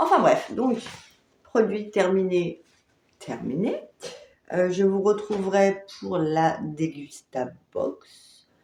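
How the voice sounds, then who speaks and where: Her voice sits fairly low in pitch, with a dark, mellow tone. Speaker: beauty vlogger. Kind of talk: casual product review vlog. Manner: hesitant with many fillers.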